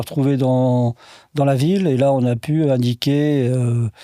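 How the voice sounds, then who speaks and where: A man's fairly high, dark and mellow voice at a fairly slow pace with fairly even intonation, in a dry, close sound with no echo on a very clean recording with a silent background. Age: 70s. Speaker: heart attack patient. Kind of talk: interview. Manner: halting.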